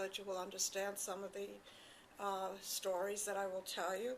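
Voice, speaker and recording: A woman at a medium pitch over noticeable background noise. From Poland. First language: not English. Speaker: Holocaust survivor. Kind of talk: testimony.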